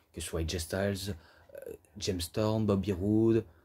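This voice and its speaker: Fairly low in pitch, a man speaks at a fairly slow pace in a dark, mellow tone. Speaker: wrestling DVD reviewer. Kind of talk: casual video review monologue. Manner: hesitant, many fillers.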